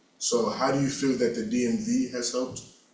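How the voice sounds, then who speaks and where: A man with a medium pitch speaks with fairly even intonation. There is noticeable background noise and audible room echo. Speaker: journalism student. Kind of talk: asking a question in class. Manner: halting.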